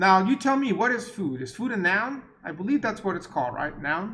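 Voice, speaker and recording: A man projects his voice, raised, at a moderate pace. The room echo is audible. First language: not English. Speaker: university lecturer. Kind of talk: lecture. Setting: recorded online class meeting. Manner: casual, conversational.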